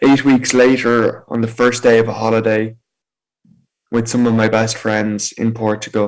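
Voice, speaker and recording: A man with an Irish accent speaks at a medium pitch in a monotone, flat intonation. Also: moderate pace. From Ireland, County Meath. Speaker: motivational speaker. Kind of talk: personal testimony talk.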